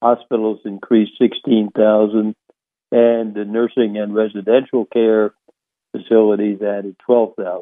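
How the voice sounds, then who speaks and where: Fairly slow and fairly low-pitched, a man speaks with monotone, flat intonation. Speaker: financial radio show host. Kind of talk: radio show monologue on economics. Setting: radio studio. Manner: halting with frequent fillers.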